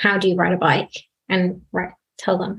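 In a British accent, a woman speaks at a medium pitch and sounds somewhat breathy. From UK. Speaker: data engineer. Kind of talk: panel discussion.

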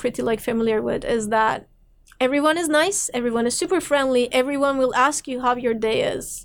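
Fairly quick delivery in a Turkish accent. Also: woman. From Turkey, Istanbul. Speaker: philosophy PhD candidate and film programmer. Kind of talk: interview conversation. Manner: frequent fillers, hesitant restarts.

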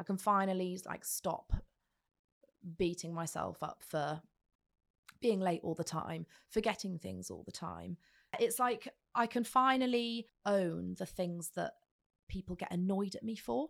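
A woman at a medium pitch with ordinary pitch variation, fairly slow with long, frequent pauses, on a very clean recording with a silent background. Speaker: radio host and podcast producer. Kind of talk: casual interview.

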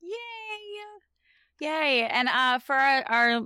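Her tone is bright and sharp, and her intonation is lively. The woman is recorded very cleanly against a silent background. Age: 20s. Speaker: podcast co-host. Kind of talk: casual chat.

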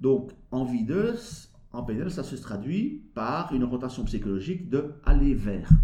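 A man at a very slow pace with lively intonation. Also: medium pitch for a man. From Belgium. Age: 50s. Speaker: behavior analyst and business coach. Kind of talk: interview.

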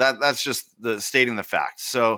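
A man's bright, sharp voice at medium pitch, with a western Canadian accent, fairly even intonation and a moderate pace. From Canadian prairies. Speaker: teacher and education podcast host. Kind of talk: casual interview chat.

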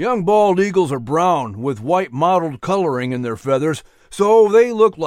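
An unforced reading voice, its intonation lively

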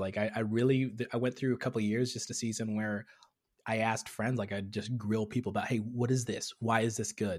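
On a very clean recording with a silent background, a man with an American accent and an ordinary speaking voice talks at a medium pitch and a moderate pace. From Tanzania, raised partly there and in US. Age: 30s. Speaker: comedian and content creator. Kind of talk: casual interview chat.

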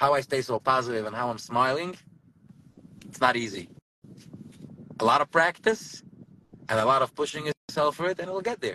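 A man with an American accent talks at a fairly quick pace with long, frequent pauses, an animated, bright, sharp tone and lively intonation, in a dry, close sound with no echo. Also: medium pitch for a man. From US Northeast, Borough Park, Brooklyn. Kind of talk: casual chat.

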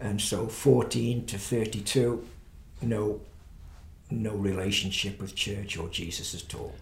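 A man's fairly low voice at a fairly slow pace, with big swings in loudness, ordinary pitch variation, audible room echo and noticeable background noise. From England, Stoke-on-Trent. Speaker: pastor. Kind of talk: interview testimony.

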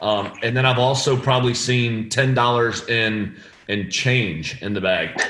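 Speaking fairly slowly with audible room echo, a man with an American accent has a bright, sharp tone at medium pitch and fairly even intonation. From northeast Florida, US. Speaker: golf caddie. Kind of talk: casual chat.

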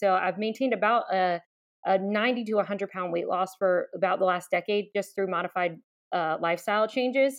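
In an American accent, a woman with a medium pitch talks at a moderate pace with fairly even intonation. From US South, southeast Virginia (Chesapeake). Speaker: pastor. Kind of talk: interview conversation.

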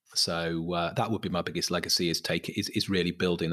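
Fairly quick pace, monotone and flat in intonation, bright and sharp in tone, with a Mancunian accent. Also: man, quiet background. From Manchester, England. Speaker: property company chief executive. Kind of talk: interview conversation.

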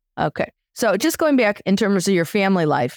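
A plain, everyday voice from a woman at medium pitch and a fairly quick pace, dry and close with no echo, in a very clean recording with a silent background. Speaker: podcast host and therapist. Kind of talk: casual interview.

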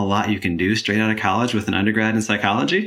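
Over noticeable background noise, a man with an American accent talks at a very fast pace. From Michigan. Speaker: nonprofit chief information officer. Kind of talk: interview.

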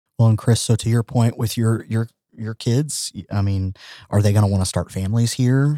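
A man with an American accent speaks at a moderate pace and medium pitch, his dark, mellow tone and fairly even intonation captured in a dry, close recording with no echo, very clean against a silent background. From Oklahoma (Tulsa). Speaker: transgender advocate, corporate manager. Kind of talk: casual chat. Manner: halting, many fillers and repetitions.

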